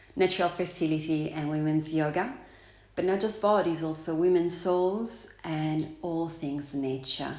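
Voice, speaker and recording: A woman with a fairly low voice speaks at a fairly slow pace and ordinary pitch variation, with audible room echo. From Italy. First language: Italian. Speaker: vlogger and yoga teacher. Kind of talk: casual vlog introduction.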